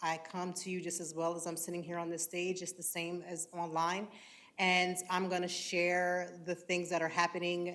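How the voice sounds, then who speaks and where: An American-accented woman with a bright, sharp tone speaks at a moderate pace in audible room echo. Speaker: content creator. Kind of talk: panel discussion. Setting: stage with audience.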